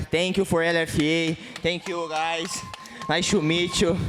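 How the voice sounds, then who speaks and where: The speaker has a Portuguese accent. Noticeable background noise runs underneath. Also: man. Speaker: MMA fighter. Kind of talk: post-fight interview. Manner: halting.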